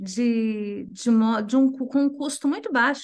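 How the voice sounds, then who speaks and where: A woman's high-pitched voice with lively intonation at a fairly slow pace. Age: 60s. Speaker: NGO executive director. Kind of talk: panel discussion.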